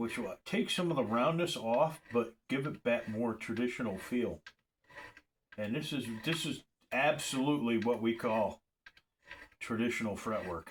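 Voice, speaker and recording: A man talks at a fairly slow pace with long, frequent pauses. His pitch is medium, with ordinary variation. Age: 60s. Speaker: luthier. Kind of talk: tutorial. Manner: casual, repetitive with false starts.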